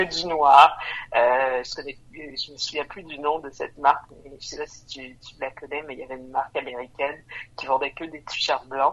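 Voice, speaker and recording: This woman's voice is very deep and low in pitch, with big swings in loudness, a moderate pace and fairly even intonation. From Montreal, Quebec. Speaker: brand co-founder. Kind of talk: casual interview.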